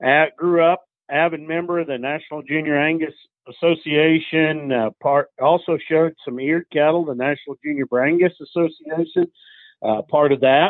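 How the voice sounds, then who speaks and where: Someone with an American accent talks at a moderate pace with fairly even intonation. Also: man, fairly high pitch for a man. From Kansas, Flint Hills. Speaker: cattle rancher and bull buyer. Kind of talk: interview.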